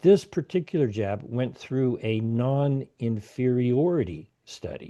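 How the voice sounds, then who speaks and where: A dark, mellow tone colors the man's medium-pitched voice. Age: 60s. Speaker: health policy activist. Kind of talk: interview.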